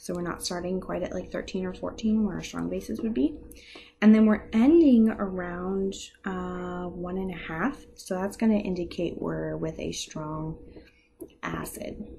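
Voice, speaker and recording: Room echo can be heard throughout. The delivery is fairly slow. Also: woman. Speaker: chemistry teacher. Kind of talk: lecture.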